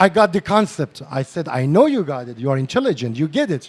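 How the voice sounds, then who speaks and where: A man with a non-native accent talks at a fairly quick pace in an animated tone. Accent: non-native English accent, self-described. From northern Iran. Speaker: psychotherapist and lecturer. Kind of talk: lecture.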